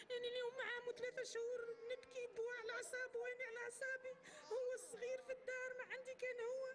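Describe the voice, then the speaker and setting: With a Tunisian accent, a woman talks at a fairly quick pace in an extremely high pitch with monotone, flat intonation. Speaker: mother of a fighter. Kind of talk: public testimony and apology.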